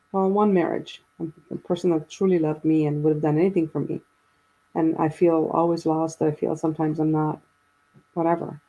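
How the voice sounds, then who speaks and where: A woman with a very deep, low voice speaks at a fairly quick pace in a monotone, flat delivery. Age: 60s. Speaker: guest sharing personal story of grief and faith. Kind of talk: casual chat.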